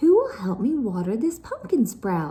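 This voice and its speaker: A woman in a put-on character voice, fairly high-pitched, talks at a moderate pace with very wide swings in pitch. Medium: read story.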